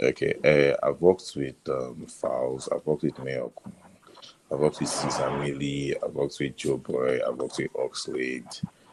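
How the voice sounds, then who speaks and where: A man speaking at a moderate pace, with noticeable background noise. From Nigeria (Yoruba). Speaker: sound engineer and music producer. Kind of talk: casual podcast interview.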